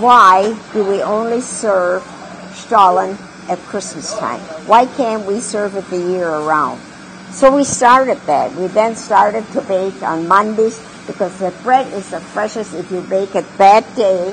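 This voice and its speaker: At a fairly slow pace, a woman with a medium pitch and ordinary pitch variation talks over noticeable background noise. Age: 80s+. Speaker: restaurant co-founder and cook. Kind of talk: interview answer.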